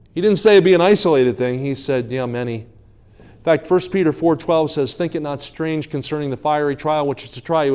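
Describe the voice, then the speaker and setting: A fairly high-pitched man with an American accent. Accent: New Jersey accent largely shed. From New Jersey. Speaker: evangelist preacher. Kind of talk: sermon. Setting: church revival service. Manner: fast.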